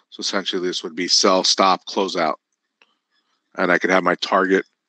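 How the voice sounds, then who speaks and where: A man with a very deep, low pitch and a bright, sharp tone talks at a fairly quick pace in monotone, flat intonation, with long, frequent pauses, in a dry, close sound with no echo against a quiet background. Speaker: software company trainer. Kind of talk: live webinar tutorial. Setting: live webinar. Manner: fast.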